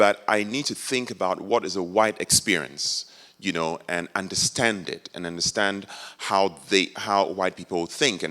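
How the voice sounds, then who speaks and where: Bright and sharp in tone, a man with a Ghanaian accent speaks at a moderate pace in a very deep, low pitch with ordinary pitch variation. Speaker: professor. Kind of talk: audience comment at a campus forum. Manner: halting, with hesitations.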